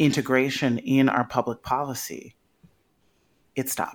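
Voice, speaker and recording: A woman with an American accent speaks fairly slowly in a very deep, low voice, on a very clean recording with a silent background. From US Midwest, south side of Chicago. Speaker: policy advocate and author. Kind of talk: interview conversation.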